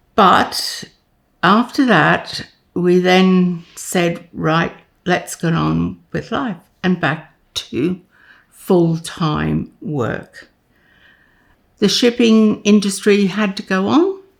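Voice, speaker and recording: A woman with an Australian accent speaks very slowly, with long, frequent pauses. Her pitch is medium with ordinary variation, on a very clean recording with a silent background. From Queensland, Australia. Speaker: retired nurse. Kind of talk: interview answer.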